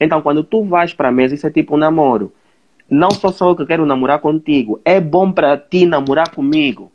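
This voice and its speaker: A man talks in a normal speaking voice at a fairly quick pace and fairly high pitch, with ordinary pitch variation. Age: 20s. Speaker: social media influencer. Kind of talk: live interview. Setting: Instagram live video stream.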